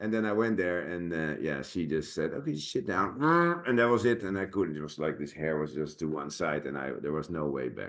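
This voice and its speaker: Speaking with a Dutch accent, a man uses a very deep, low pitch and lively intonation at a fairly quick pace. The background is quiet. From Netherlands. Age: 50s. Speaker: actor and sword master. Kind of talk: casual chat. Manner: halting, many fillers.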